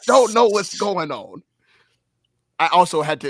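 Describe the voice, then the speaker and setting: In a very clean recording with a silent background, a man talks at a fairly quick pace with very wide pitch swings. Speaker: streamer.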